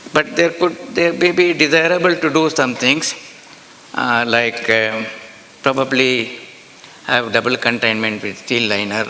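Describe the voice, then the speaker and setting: In an Indian accent, a man speaks at a fairly slow pace and medium pitch, with ordinary pitch variation, long, frequent pauses and noticeable background noise. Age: 80s+. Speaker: nuclear energy expert. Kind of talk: conference talk.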